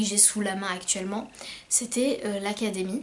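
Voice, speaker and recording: Noticeable background noise behind a woman's fairly high, fairly even voice at a moderate pace. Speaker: self-published novelist. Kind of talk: casual vlog talk. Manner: hesitant, many fillers.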